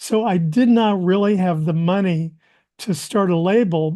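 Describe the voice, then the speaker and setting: With an American accent, this dark, mellow voice moves at a moderate pace with ordinary pitch variation against a quiet background. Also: man. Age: 70s. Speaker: composer and musician. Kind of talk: interview storytelling. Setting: podcast interview.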